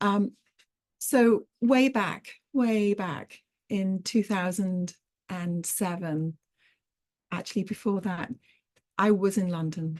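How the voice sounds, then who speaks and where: A woman speaks at a very slow pace. Her pauses are long and frequent. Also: medium pitch for a woman, ordinary pitch variation. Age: 40s. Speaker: crochet artist and teaching artist. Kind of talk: online artist talk. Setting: video call. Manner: hesitant, with frequent fillers.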